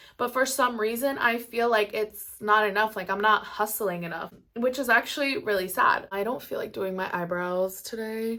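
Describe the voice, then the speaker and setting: With hardly any pauses, a woman talks in a fairly high, bright, sharp voice on a very clean recording with a silent background. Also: ordinary pitch variation, moderate pace. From Maryland, US, Mexican family. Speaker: YouTuber, makeup artist. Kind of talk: casual chat. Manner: casual, filler-heavy.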